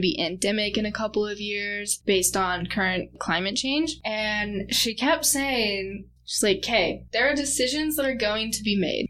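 A woman with an American accent speaks at a moderate pace and medium pitch, with noticeable background noise. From US Northwest, Tri-Cities, Washington. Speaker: undergraduate researcher. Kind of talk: interview.

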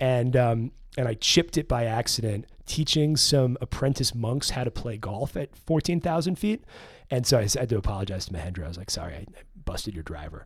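A man with an American accent and a medium pitch talks at a fairly quick pace with vocal fry and very wide pitch swings, in a very clean recording with a silent background. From New York City. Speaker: filmmaker and writer, former golf caddie. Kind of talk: casual chat. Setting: studio.

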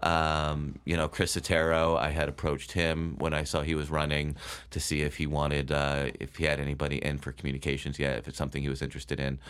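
A man speaks very fast with an American accent, his very deep, low voice staying monotone and flat. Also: very clean recording, silent background. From Connecticut (Bethel). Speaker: writer, former newspaper reporter. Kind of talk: interview.

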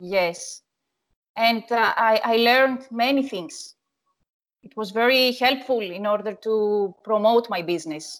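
Speaking in a Greek accent, a woman keeps a fairly slow pace. Her fairly high pitch shows ordinary variation. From Greece, Athens. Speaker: wedding photographer. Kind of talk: interview. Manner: halting.

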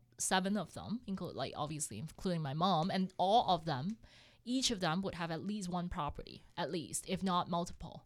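A woman with a Cantonese accent speaks at a moderate pace in a fairly low pitch with ordinary pitch variation, on a very clean recording with a silent background. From Hong Kong. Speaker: accountant and real estate investor. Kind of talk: casual interview chat.

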